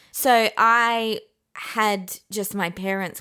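The woman has a bright, sharp tone, captured on a very clean recording with a silent background. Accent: Australian. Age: 30s. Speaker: podcast co-host. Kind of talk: casual chat. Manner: talkative.

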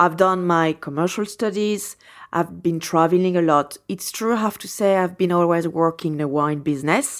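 A woman with a French accent talks at a moderate pace in a fairly low voice with ordinary pitch variation, recorded very cleanly against a silent background. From France, Champagne region (Reims). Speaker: champagne house owner. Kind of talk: interview. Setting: in person in Melbourne.

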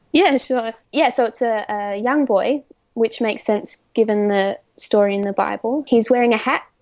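Moderate pace and ordinary pitch variation, in an Australian accent. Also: woman, fairly high pitch for a woman. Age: 20s; young. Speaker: art student. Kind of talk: casual interview.

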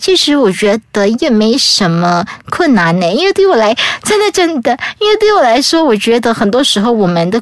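Over noticeable background noise, a woman speaks at a moderate pace in a fairly high pitch, her loudness very even while her pitch swings very widely. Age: 30s. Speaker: travel author with muscular atrophy, wheelchair user. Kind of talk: casual interview.

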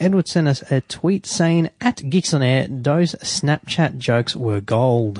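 With an Australian accent, a man talks at a very slow pace with hardly any pauses, his pitch fairly high and his loudness very even. The sound is dry and close, with no echo. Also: lively intonation. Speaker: radio co-host. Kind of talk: casual radio banter, reading tech news aloud. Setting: radio studio.

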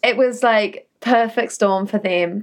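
The speaker has a New Zealand accent. Pitch variation is ordinary. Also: woman. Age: 30s. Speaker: former reality TV star. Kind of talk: interview.

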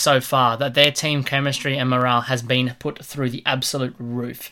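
This man has a bright, sharp tone and an Australian accent, speaking at a moderate pace. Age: 20s. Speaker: sports podcast host. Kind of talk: casual chat.

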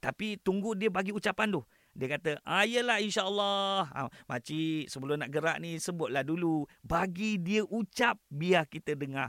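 A man at a fairly slow pace, in a very clean recording with a silent background and a dry, close sound with no echo. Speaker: imam. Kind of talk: religious talk.

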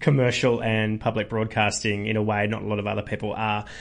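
With an Australian accent, a man speaks fairly quickly in a fairly low pitch. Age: 30s. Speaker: comedian. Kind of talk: interview.

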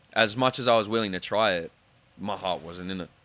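With an Australian accent, a man speaks in a bright, sharp tone and ordinary pitch variation. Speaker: singer. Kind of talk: casual chat. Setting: studio.

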